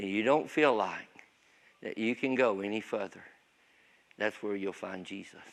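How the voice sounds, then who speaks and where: A man with a Southern US accent and ordinary pitch variation. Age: 60s. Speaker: pastor. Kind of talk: testimony. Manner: casual.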